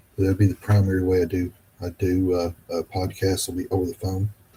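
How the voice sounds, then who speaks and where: A man speaks at a moderate pace in a very deep, low pitch. His tone is dark and mellow and somewhat breathy. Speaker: podcast host. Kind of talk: podcast outro. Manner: hesitant, repetitive.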